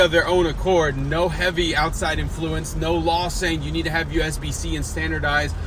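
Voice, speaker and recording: A man's moderate-paced speech carries audible room echo along with noticeable background noise. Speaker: vlogger. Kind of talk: casual monologue. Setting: in a car. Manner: loud.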